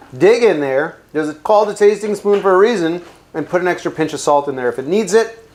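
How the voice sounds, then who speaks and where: Speaking at a fairly quick pace with ordinary pitch variation, a man talks with a New Jersey accent. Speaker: chef. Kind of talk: cooking tutorial. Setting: home kitchen. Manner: casual, jokey.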